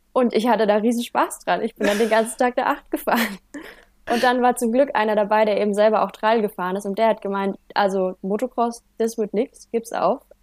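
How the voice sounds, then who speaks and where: A woman with an unremarkable speaking voice talks at a fairly quick pace in a fairly high pitch, her intonation fairly even and the sound dry and close with no echo. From Germany, Franconia (Heideck, Bavaria). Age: 20s. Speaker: motorcycle trial rider and student. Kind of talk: casual interview.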